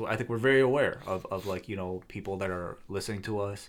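On a very clean recording with a silent background, a man speaks in a fairly low-pitched voice. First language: not English. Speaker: podcaster. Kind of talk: casual chat.

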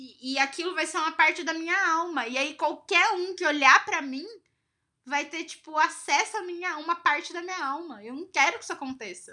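The voice is raised and projected, bright and sharp in tone, moving at a moderate pace with ordinary pitch variation. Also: woman, extremely high pitch for a woman. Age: 20s. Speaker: podcast co-host. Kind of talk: casual chat.

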